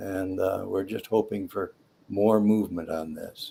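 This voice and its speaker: A man speaks with an American accent. His pace is very slow. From US Midwest, Detroit. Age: 80s+. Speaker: retired airline pilot. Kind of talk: interview. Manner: halting.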